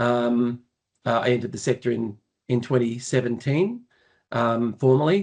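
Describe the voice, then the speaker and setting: Keeping a very even loudness, a man of medium pitch talks at a moderate pace with ordinary pitch variation and long, frequent pauses. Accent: Australian. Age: 60s. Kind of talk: podcast interview. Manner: halting, many fillers.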